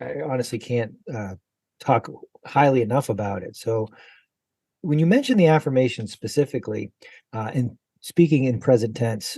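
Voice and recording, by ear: Here a man talks at a moderate pace with lively intonation. His tone is dark and mellow, with a slightly husky edge. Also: medium pitch for a man.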